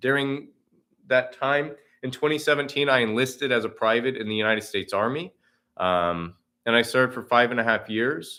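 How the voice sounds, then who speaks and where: A man speaks at a fairly quick pace with an American accent. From Oklahoma. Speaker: political candidate. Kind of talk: campaign livestream talk. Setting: video livestream from campaign office. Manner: unscripted, conversational.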